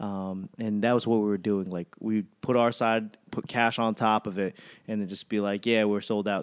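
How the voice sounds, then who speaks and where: Against a quiet background, a man talks at a moderate pace in a fairly low pitch with monotone, flat intonation. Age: 30s. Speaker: podcast host. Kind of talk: casual chat.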